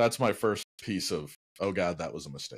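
A man's voice with vocal fry and very wide pitch swings at a moderate pace. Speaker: podcast co-host telling a story. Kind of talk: casual podcast storytelling. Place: home room.

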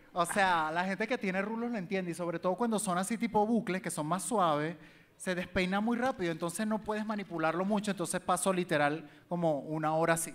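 Using a Venezuelan accent, a man speaks at a fairly quick pace in a high pitch, with ordinary pitch variation. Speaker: social media entertainer; podcast guest. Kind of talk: live comedy talk show with audience. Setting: live venue with audience. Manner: flamboyant, camp. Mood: relaxed, playful, animated. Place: stage. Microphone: handheld.

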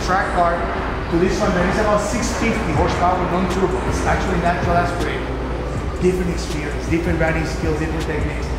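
Loud background noise and audible room echo surround this recording. A man talks at a very fast pace over it. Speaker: car collector host. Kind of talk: casual explanatory chat. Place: garage.

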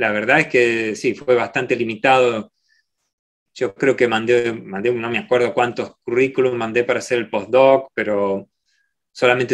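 Over a quiet background, a man talks at a fairly slow pace with fairly even intonation. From Argentina, Rosario; Argentina. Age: 40s. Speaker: microbiology professor; guest. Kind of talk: Q&A talk; interview answer. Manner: halting, many repeated words. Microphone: video call.

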